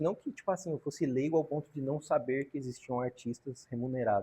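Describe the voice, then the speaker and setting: A man's fairly high, somewhat breathy voice with a dark, mellow tone at a very fast pace, showing ordinary pitch variation. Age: 30s. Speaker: graffiti artist and tattooist. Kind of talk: podcast interview. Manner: casual slangy.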